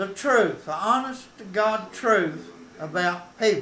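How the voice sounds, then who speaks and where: A man with an Appalachian accent speaks in a raised, projected voice at a high pitch. Noticeable background noise and audible room echo are present. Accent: Appalachian Southern US. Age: 80s+. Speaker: local historian. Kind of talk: casual storytelling monologue. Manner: folksy, with hesitations.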